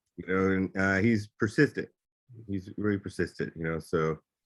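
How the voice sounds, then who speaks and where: A man's very deep, low voice in an American accent, with ordinary pitch variation and a dry, close sound with no echo. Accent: Southern drawl, mostly trained away. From North Carolina, US South. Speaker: voice actor. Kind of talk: podcast interview.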